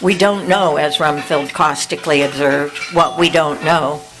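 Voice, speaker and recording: Noticeable background noise beneath lively intonation. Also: woman. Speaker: poet. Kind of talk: casual remarks to audience; poetry reading.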